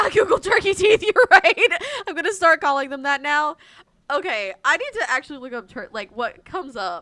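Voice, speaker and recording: Raised and projected, this voice with an American accent has a bright, sharp tone, a moderate pace, big swings in loudness and very wide pitch swings. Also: woman, high pitch for a woman. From US South, central/eastern North Carolina. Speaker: live streamer. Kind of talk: casual live stream chat.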